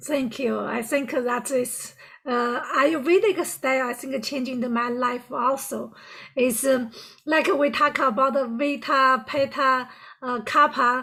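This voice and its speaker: In a strong Chinese accent, a woman with a high pitch and a bright, sharp tone speaks in a raised, projected voice at a fairly slow pace with fairly even intonation. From China. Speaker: podcast host and life coach. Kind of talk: podcast interview. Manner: deliberately slowed speech.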